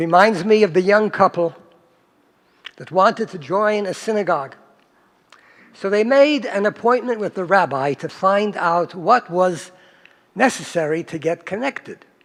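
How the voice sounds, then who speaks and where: A man with a high pitch speaks at a moderate pace with lively intonation. His loudness swings widely, and he takes long, frequent pauses. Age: 80s+. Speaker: rabbi. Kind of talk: synagogue speech. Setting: synagogue with congregation.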